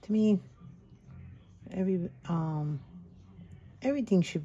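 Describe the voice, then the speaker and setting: Soft-spoken and somewhat breathy, a woman uses ordinary pitch variation in a dark, mellow tone. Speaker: crafting channel host. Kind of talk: craft tutorial. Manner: halting.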